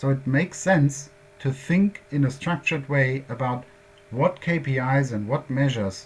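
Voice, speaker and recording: The speaker has a German accent. Delivery comes at a moderate pace with ordinary pitch variation. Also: man. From Germany. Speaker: workshop presenter on quality management. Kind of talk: lecture. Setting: workshop presentation. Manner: halting, many fillers.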